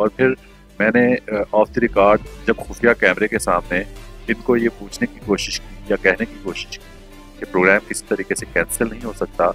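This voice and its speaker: Music plays behind a man whose voice sounds dry and close, with no echo. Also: big swings in loudness. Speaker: news anchor. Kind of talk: narration addressed to viewers.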